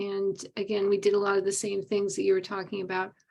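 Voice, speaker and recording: This woman has a dark, mellow tone at medium pitch. The background is quiet. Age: 60s. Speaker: online meditation group participant. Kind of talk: casual sharing in a group call.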